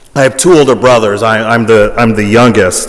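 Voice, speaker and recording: A man with a Californian accent at a medium pitch, with ordinary pitch variation, audible room echo and noticeable background noise. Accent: California English. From Hawaii. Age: 40s. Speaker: priest and school president. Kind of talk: public talk.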